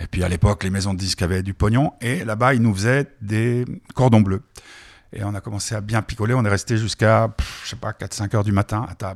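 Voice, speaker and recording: With a dry, close sound and no echo, a man in an ordinary speaking voice speaks at a fairly quick pace in a fairly low pitch. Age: 60s. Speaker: radio host. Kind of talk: radio chat.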